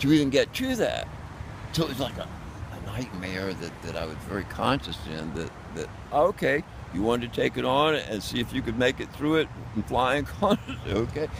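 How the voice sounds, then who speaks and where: Noticeable background noise sits behind a man of medium pitch speaking at a moderate pace. He pauses long and often, and his pitch swings very widely. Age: 70s. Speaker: homeless street performer. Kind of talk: casual chat. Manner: animated; halting.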